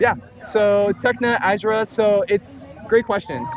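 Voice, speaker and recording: There is noticeable background noise. A man talks with a high pitch. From Filipino family background. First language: Tagalog. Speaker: music producer. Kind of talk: casual interview. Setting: outdoors at the beach.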